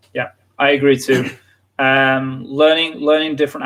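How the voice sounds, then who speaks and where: In a Yorkshire accent, a man delivers a bright, sharp tone with monotone, flat intonation. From northern England, North Yorkshire. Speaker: English teacher. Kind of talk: live stream lesson chat. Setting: live stream.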